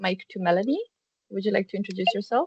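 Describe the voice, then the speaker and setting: The woman's medium-pitched voice comes through in a dry, close sound with no echo. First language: Serbian. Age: 20s. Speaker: student career ambassador. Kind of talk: workshop presentation. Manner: hesitant, many fillers.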